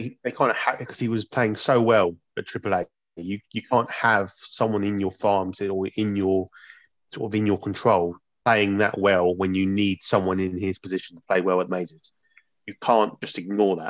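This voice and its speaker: Against a quiet background, a man with a British accent speaks at a moderate pace with fairly even intonation. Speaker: podcast co-host. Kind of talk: casual chat.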